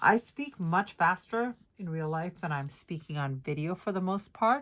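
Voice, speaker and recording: Lively intonation marks a woman's medium-pitched voice at a moderate pace. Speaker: planner decorating youtuber. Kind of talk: casual voiceover tutorial while crafting. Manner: hesitant, many ums.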